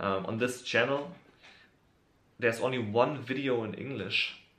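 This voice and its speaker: With audible room echo, a speaker in a German accent talks at a fairly slow pace with ordinary pitch variation. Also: man. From Germany. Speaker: YouTuber, hip hop fan. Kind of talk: casual video monologue. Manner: halting, many fillers.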